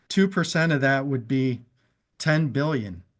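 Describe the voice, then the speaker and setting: A man's normal speaking voice, fairly high in pitch and fairly slow, with ordinary pitch variation on a very clean recording with a silent background. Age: 60s. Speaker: business presenter. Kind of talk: sales pitch; testimony.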